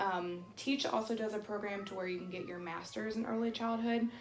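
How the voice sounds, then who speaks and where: A woman speaks at a fairly quick pace and medium pitch with fairly even intonation, amid noticeable background noise and audible room echo. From North Carolina. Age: 20s. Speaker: childcare center administrator. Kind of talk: interview.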